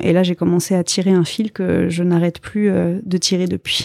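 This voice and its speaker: A woman speaks fairly slowly in a fairly low voice with a dark, mellow tone. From France. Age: 30s. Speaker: parenting coach. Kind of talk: interview.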